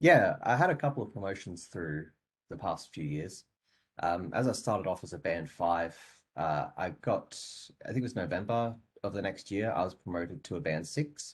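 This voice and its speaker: A man with an Australian accent, his voice fairly low-pitched and somewhat breathy. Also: lively intonation, moderate pace. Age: 20s. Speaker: software developer. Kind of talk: interview.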